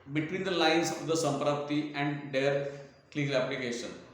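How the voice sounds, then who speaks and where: A man's fairly high voice carries audible room echo and noticeable background noise. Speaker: Ayurvedic doctor and teacher. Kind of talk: lecture. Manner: slow, deliberate; halting.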